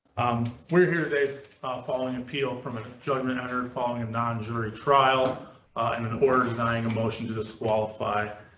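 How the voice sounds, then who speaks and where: There is noticeable background noise and audible room echo. A man of medium pitch talks at a fairly quick pace with fairly even intonation. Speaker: attorney. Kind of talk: appellate oral argument. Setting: courtroom. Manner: loud; formal.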